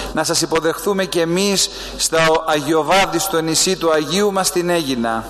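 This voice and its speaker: A man with a Greek accent speaks in a high voice with fairly even intonation, and there is noticeable background noise. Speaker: Greek clergyman accompanying relics. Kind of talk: formal address.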